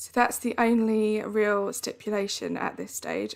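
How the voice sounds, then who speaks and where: A woman speaks at a moderate pace with an Essex accent. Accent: Essex accent, drops T's. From Essex, England. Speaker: video game streamer. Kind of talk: live stream gameplay chat. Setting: live stream. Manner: chatty, conversational.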